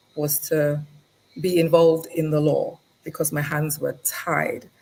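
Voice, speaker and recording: Speaking fairly slowly, a woman talks in an English accent. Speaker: lawyer. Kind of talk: interview. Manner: hesitant, many fillers.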